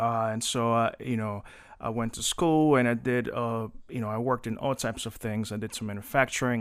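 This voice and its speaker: Medium-pitched male speech in a Spanish accent, fairly quick and with fairly even intonation. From Colombia, then New Jersey from age 13. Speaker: city government employee and community advocate. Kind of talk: podcast interview.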